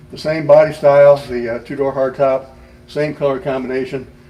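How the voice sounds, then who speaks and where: A man speaks at a moderate pace and medium pitch in a flat monotone, with noticeable background noise. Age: 70s. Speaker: retired anesthesiologist and car owner. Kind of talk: casual interview in a car shop. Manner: hesitant with frequent fillers.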